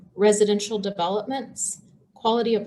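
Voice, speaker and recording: The voice has a dark, mellow tone and is somewhat breathy. It moves at a moderate pace. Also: woman. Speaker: city economic development director. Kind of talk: presentation at public meeting.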